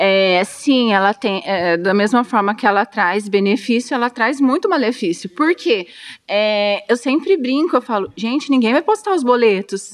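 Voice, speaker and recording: Using an ordinary speaking voice, a woman with a fairly high pitch talks at a fairly slow pace with lively intonation, hardly any pauses, and very even loudness. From Brazil, Dourados (Mato Grosso do Sul). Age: 30s. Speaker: therapist and restaurant owner. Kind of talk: interview.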